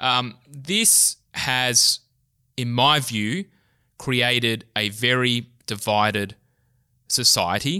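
A man's medium-pitched voice with a bright, sharp tone and ordinary pitch variation, very slow with long, frequent pauses, on a very clean recording with a silent background. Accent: Australian. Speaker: think tank researcher, podcast host. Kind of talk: interview.

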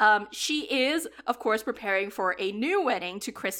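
An ordinary speaking voice from a woman, fairly high in pitch with ordinary pitch variation, at a fairly slow pace on a very clean recording with a silent background. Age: 30s. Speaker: podcast co-host reviewing romantic comedies. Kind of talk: casual chat.

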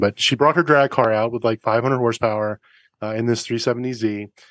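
A man with an American accent speaks in an ordinary speaking voice, fairly low in pitch with fairly even intonation, in a quiet background with a dry, close sound and no echo. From US East Coast. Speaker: car podcast host and racing instructor. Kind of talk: casual interview chat.

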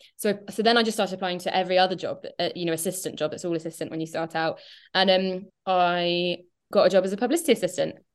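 A woman talks at a very fast pace with an English accent. Her intonation stays fairly even. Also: medium pitch for a woman, quiet background. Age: 30s. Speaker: novelist. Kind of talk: interview.

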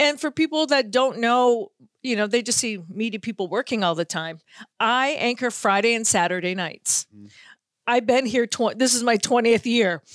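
A woman with a fairly high pitch and an American accent talks at a moderate pace in an animated tone with lively intonation, the sound dry and close with no echo on a very clean recording with a silent background. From Boston area, US. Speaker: sports radio host. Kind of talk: casual chat.

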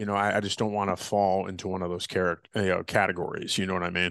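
Over a quiet background, a man's voice comes through with a dry, close sound with no echo. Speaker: podcast host. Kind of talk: interview, casual conversation. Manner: animated, upbeat.

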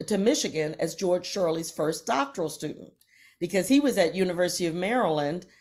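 In a very clean recording with a silent background, a woman with an American accent talks at a medium pitch in a normal speaking voice. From Virginia, US South. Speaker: opera singer and music professor. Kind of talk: interview conversation.

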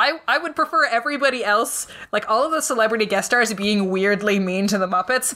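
Over noticeable background noise, a woman talks at a fairly quick pace with hardly any pauses. Her fairly high voice carries lively intonation. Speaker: podcast co-host. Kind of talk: casual chat. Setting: home basement.

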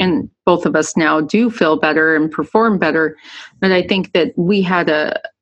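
A woman speaks at a moderate pace in a normal speaking voice. Her pitch is fairly low, and her intonation is lively. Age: 40s. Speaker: podcast host and endurance coach. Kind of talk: casual interview.

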